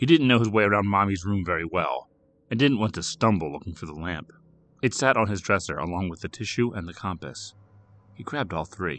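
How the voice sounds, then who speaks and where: Speaking in an ordinary speaking voice with an American accent, a man talks at a fairly quick pace, fairly low in pitch, with lively intonation and big swings in loudness. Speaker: horror fiction narrator. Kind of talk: horror audiobook narration, scripted story read aloud with character voices for dialogue. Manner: measured, suspenseful, hushed and eerie storytelling.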